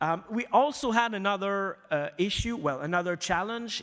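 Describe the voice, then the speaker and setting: The speaker has a strong Quebec accent. The recording is very clean, with a silent background. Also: man. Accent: thick French Canadian. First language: French. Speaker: news media executive. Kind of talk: conference presentation. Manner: halting, many fillers.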